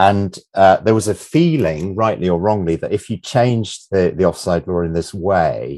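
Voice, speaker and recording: A man with an English accent speaks at a fairly low pitch. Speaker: sports journalist and author. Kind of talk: football history discussion. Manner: halting, many repetitions and fillers.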